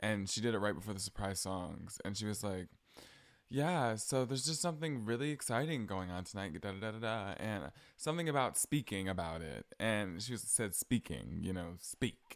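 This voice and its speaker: A man with an American accent talks at a moderate pace in a fairly low voice with lively intonation, in a very clean recording with a silent background. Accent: country accent, hides it. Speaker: podcaster. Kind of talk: casual chat. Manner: animated.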